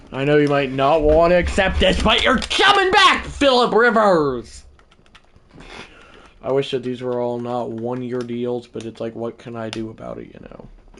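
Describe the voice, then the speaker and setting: Noticeable background noise sits behind a man talking at a moderate pace with big swings in loudness. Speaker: gaming live streamer. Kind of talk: live gameplay commentary. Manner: casual, rambling with fillers.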